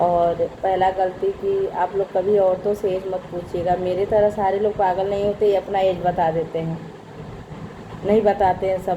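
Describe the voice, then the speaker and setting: With noticeable noise behind her, a woman speaks in a flat, monotone way. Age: 40s. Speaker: family vlogger, mother of three. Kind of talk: casual vlog chat to viewers. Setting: at home, dining table.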